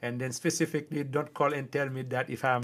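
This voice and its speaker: Man with a strong Haitian accent and fairly even intonation, on a very clean recording against a silent background. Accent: thick Haitian. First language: Haitian Creole. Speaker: livestreamer. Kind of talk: casual chat. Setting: livestream.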